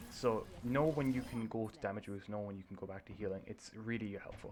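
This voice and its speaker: The man talks at a fairly quick pace, his pitch medium and his intonation fairly even. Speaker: gaming video creator. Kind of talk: gameplay review commentary. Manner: fast. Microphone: poor mic, too quiet.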